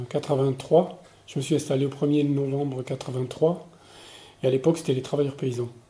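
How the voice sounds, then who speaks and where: A man with a dark, mellow, somewhat breathy tone speaks at a fairly high pitch. His pace is fairly quick and his intonation monotone and flat. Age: 60s. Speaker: retired farmer. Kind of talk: interview. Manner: hesitant, many filler words.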